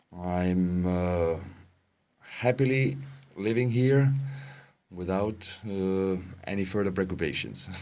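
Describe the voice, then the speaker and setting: A dark, mellow tone at a very slow pace, with long, frequent pauses and audible room echo. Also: man, very deep, low pitch for a man, ordinary pitch variation. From Germany. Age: 40s. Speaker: interviewee, expatriate resident. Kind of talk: interview. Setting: studio. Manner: halting, many fillers.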